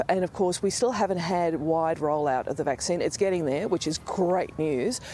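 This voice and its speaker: A woman with a dark, mellow tone and fairly low pitch, ordinary pitch variation, moderate pace, dry sound with no echo and light background noise. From Australia. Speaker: health policy expert. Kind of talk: news interview. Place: waterside. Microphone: lapel.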